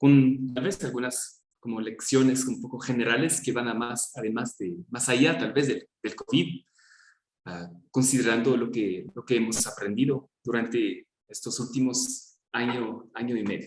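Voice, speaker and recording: Speaking with a French accent, a man has a medium pitch. He talks at a fairly slow pace with ordinary pitch variation. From France. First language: French (speaking Spanish). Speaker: gerontology researcher, speaker. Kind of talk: academic presentation. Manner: halting, with fillers.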